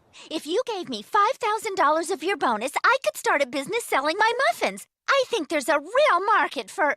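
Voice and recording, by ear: A cartoonish character voice sits at an extremely high pitch. It moves at a fairly quick pace with very wide pitch swings.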